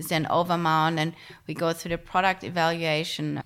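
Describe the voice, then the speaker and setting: A woman with a German accent speaks at a fairly low pitch and moderate pace. The recording is very clean, with a silent background. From Germany. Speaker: retail tech co-founder. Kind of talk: interview. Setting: in person at home.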